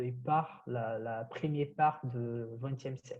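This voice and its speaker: Delivered at a very slow pace in a Brazilian accent, the voice is somewhat breathy with a dark, mellow tone and ordinary pitch variation. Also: man. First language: Portuguese (speaking French). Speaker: history PhD student. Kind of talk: podcast interview. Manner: halting, many hesitations.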